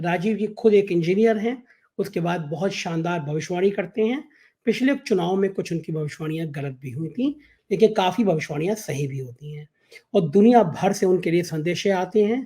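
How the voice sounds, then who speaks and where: A man speaks at a high pitch in a dark, mellow tone. His loudness swings widely. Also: ordinary pitch variation. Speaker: news channel host, interviewer. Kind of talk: political interview talk show.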